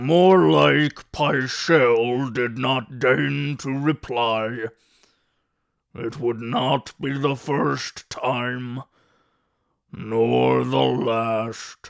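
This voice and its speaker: Using a put-on character voice, a man speaks at a medium pitch. His delivery is very slow with lively intonation. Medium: read story. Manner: gruff, blunt.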